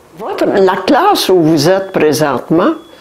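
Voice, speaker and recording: The speaker's voice makes very wide pitch swings at a very slow pace against noticeable background noise. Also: woman. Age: 80s+. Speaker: great-grandmother visiting a school class. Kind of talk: talk to schoolchildren about the past. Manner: halting with hesitations.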